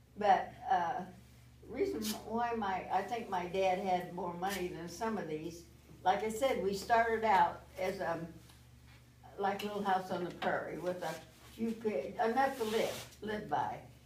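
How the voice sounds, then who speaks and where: A woman with an American accent at a fairly slow pace, audible room echo and noticeable background noise around her. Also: medium pitch for a woman, ordinary pitch variation. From US Midwest, South Bend, Indiana. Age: 90s. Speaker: grandmother speaking to a school class. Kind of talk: storytelling to schoolchildren. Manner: halting, with many fillers.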